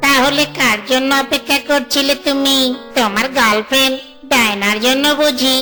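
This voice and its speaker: Over clear background music, a female-sounding cartoonish character voice speaks at a moderate pace. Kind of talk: comic cartoon voice acting. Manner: wheedling, cheeky.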